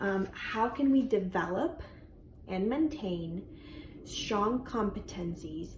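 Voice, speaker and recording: Over audible room echo, a woman with a Spanish accent speaks at a fairly slow pace with lively intonation. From Colombia. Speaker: bilingual speech language pathologist. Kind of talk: educational talk. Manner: informal, with frequent fillers.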